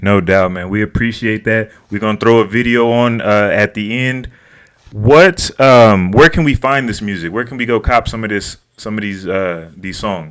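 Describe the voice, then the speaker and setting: A man's plain, everyday voice at a moderate pace. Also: fairly low pitch for a man, ordinary pitch variation. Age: 40s. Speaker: interview show host. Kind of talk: interview.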